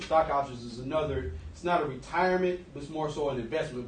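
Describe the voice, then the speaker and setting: A man's fairly high voice at a very fast pace, with ordinary pitch variation, audible room echo and noticeable background noise. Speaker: guest speaker on personal finance. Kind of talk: classroom presentation. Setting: classroom with students. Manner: casual, interactive.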